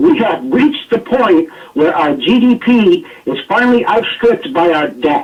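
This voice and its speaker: Noticeable background noise surrounds a man speaking with an American accent. His voice is extremely high in pitch and swings very widely. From United States. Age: 50s. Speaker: political commentator. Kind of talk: radio talk show discussion. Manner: animated.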